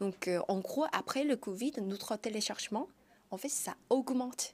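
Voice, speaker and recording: A woman with a Korean accent speaks at a fairly slow pace in a high pitch with ordinary pitch variation. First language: Korean (speaking French). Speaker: startup founder. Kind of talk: TV interview. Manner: halting, many hesitations.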